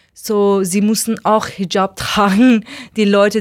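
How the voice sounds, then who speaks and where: The woman's pitch is medium. She talks very slowly. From Iran. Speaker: artist and activist. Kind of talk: interview. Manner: halting.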